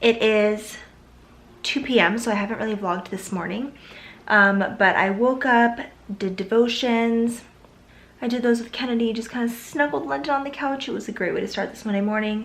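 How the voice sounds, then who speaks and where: A woman with a fairly high pitch talks at a moderate pace, with ordinary pitch variation, big swings in loudness and audible room echo. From US Pacific Northwest, Seattle area. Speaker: lifestyle vlogger. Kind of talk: casual vlog talk to camera. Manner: casual, many fillers.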